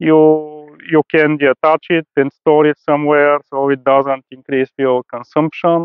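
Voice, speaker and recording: In a Bulgarian accent, a man speaks at a fairly slow pace with a fairly high pitch, very even loudness and monotone, flat intonation. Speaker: rooftop tent seller, traveler. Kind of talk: presentation to an audience. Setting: stage at an event with audience. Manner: halting, many fillers.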